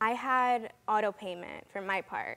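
A woman speaks at a fairly slow pace in a medium pitch, her bright, sharp tone rising and falling in big swings.

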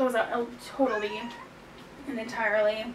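A woman at a moderate pace with monotone, flat intonation over noticeable background noise. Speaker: home cook vlogger. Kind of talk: casual vlog chat. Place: kitchen. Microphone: camera far.

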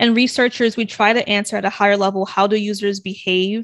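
In an American accent, a woman with an ordinary speaking voice talks at a fairly quick pace, medium in pitch and fairly even in intonation. The sound is dry and close with no echo, over a quiet background. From Brooklyn, New York, then Delaware. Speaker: UX researcher and founder. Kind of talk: interview.

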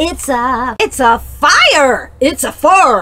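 A woman speaks very slowly in a raised, projected voice. Her pitch swings very widely. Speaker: vlogger. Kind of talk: casual vlog chat. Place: home room. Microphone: webcam.

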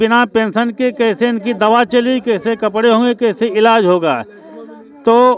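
This man's voice sits extremely high in pitch and moves at a very slow pace. His intonation is fairly even, and the sound is dry with no echo. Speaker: local news reporter. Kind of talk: field report and street interview. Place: street. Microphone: handheld.

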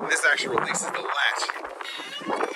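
The sound is dry with no echo. A man speaks over loud background noise. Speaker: car reviewer. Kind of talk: casual walkaround commentary. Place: street. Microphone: phone near.

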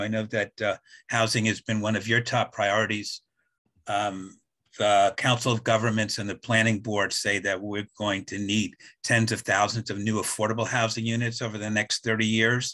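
A man's bright, sharp voice in a flat monotone, at a moderate pace, against a quiet background. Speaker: community group organizer; forum moderator. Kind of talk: moderated Q&A. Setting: video call. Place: home room. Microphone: video call.

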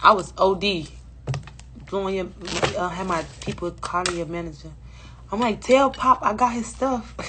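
A woman speaks at a moderate pace with big swings in loudness over noticeable background noise. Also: ordinary pitch variation. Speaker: live streamer. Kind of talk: casual live stream chat. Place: home room. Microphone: phone near.

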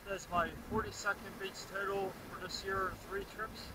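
A man talks over loud background noise. The sound is dry with no echo. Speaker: beach vlogger. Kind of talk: casual vlog chat. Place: beach. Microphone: phone near.

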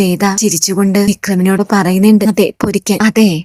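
A woman's medium-pitched, dark, mellow voice, flat and monotone, dry and close with no echo, in a very clean recording with a silent background. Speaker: TV serial recap vlogger. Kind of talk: scripted narration.

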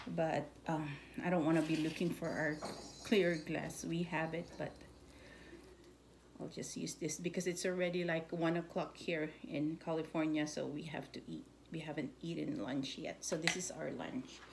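Through noticeable background noise, a woman with a very deep, low pitch talks at a moderate pace, with fairly even intonation and long, frequent pauses. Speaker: home cook vlogger. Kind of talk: casual cooking tutorial. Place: kitchen. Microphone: phone near.

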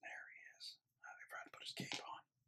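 Over loud background noise, a man whispers soft-spoken words at a very fast pace. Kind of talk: casual build commentary. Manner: soft ASMR whisper.

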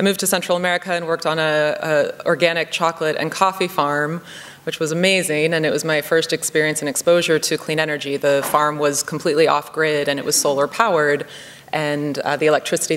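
A woman talks at a fairly quick pace in a very deep, low voice with flat, monotone intonation. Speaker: conference speaker. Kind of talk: keynote speech. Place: hall. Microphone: podium.

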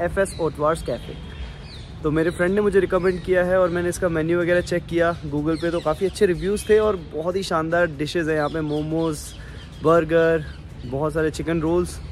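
A high-pitched male voice in a flat monotone at a moderate pace, dry with no echo, over light background noise. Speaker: food vlogger. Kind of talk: casual vlog chat. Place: street. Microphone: phone near.

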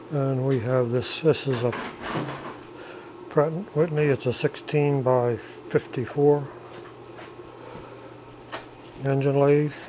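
Against light background noise, a man speaks with a monotone, flat intonation. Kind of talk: shop tour commentary. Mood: relaxed, proud of machines. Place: workshop. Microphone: phone near.

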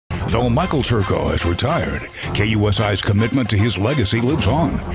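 A man speaks at a medium pitch with lively intonation while music plays in the background. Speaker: voice actor. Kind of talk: TV news promo read.

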